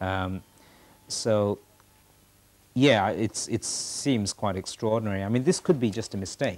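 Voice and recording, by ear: Speaking at a fairly slow pace with long, frequent pauses, a man uses a fairly low pitch and ordinary pitch variation.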